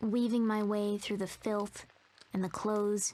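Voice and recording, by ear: The voice reads aloud in a natural way.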